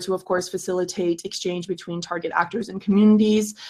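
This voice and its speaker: A woman's unremarkable speaking voice at medium pitch, with fairly even intonation. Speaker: project pitch presenter. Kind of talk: project pitch. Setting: video call.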